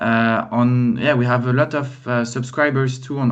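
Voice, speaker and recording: Over noticeable background noise, a man with a French accent talks at a medium pitch with monotone, flat intonation. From France. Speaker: data consultant and trainer. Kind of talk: casual chat.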